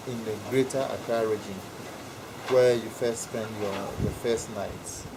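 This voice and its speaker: Against noticeable background noise, a man with a Ghanaian accent talks at a fairly slow pace. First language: Ewe. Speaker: interviewee explaining culture. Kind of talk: informal interview.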